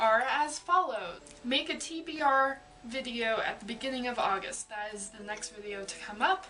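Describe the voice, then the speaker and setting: Noticeable background noise sits behind this recording. A woman talks over it with lively intonation. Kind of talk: casual talk to camera.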